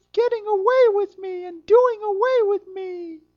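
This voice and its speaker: The woman's pitch is extremely high, and she moves at a fairly slow pace with fairly even intonation. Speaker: audiobook narrator. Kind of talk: fairy-tale narration, reading aloud. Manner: storyteller's measured, expressive pace.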